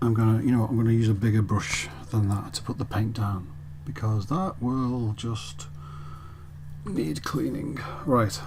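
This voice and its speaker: A man's fairly low voice at a moderate pace, lively in intonation and broken by long, frequent pauses, with audible room echo and noticeable background noise. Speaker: miniature painting tutor. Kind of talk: tutorial.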